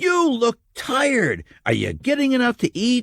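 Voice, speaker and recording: A man uses a put-on character voice at an extremely high pitch. He keeps a moderate pace. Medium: read story. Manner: earnest, fatherly.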